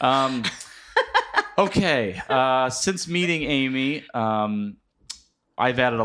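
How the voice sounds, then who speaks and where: On a very clean recording with a silent background, a man with an American accent talks at a very slow pace. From US Midwest. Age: 30s. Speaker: podcast host. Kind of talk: casual interview. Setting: studio.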